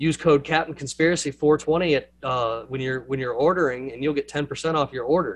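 Intonation here is fairly even. It comes with a Southern US accent. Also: man, fairly high pitch for a man, moderate pace. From US South. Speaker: podcast host. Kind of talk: casual chat.

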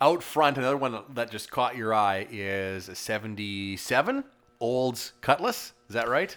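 Here is a man with an ordinary speaking voice, pitched in the medium range. He talks at a fairly slow pace with ordinary pitch variation. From Saskatchewan, Canada. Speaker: car podcast host. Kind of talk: casual interview. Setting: in a garage.

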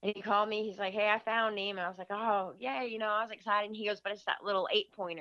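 With an Upper Midwest US accent, a woman talks very fast at a medium pitch, her intonation fairly even and hardly any pauses between words. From Michigan. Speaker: deer hunter. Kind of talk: storytelling in casual interview.

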